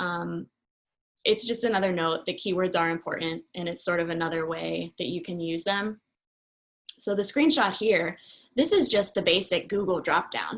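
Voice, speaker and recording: A woman's medium-pitched voice with vocal fry and ordinary pitch variation, at a moderate pace against a quiet background. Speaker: marketing consultant. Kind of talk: webinar presentation.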